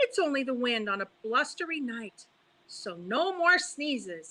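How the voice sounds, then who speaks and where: A woman does a put-on character voice at a high pitch and a moderate pace. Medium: read story. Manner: stubborn.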